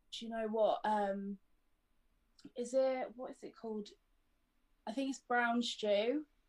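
A woman's fairly high-pitched voice in a southern English accent, fairly slow with long, frequent pauses, big swings in loudness and ordinary pitch variation. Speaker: adult model. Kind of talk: casual interview.

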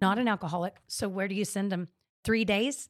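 In a very clean recording with a silent background, a woman with an American accent speaks at a medium pitch and a moderate pace in an animated tone. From central Texas (Temple, Austin). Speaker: social entrepreneur. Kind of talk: casual chat.

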